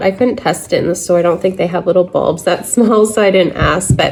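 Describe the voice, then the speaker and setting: Noticeable noise fills the background. A woman's pitch varies in a normal way over it. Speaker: thrift reseller, channel host. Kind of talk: haul review, casual talk to camera.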